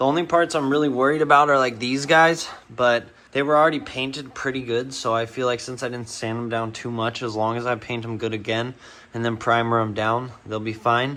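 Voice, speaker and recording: The man's intonation stays fairly level. He speaks at a fairly quick clip. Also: medium pitch for a man. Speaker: car hobbyist vlogger. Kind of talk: casual vlog tutorial. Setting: home garage. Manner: rambling, casual.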